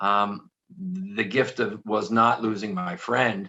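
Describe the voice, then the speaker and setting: This man speaks at a medium pitch with a Philadelphia accent. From Philadelphia area, US. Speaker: author and motivational speaker. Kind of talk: interview.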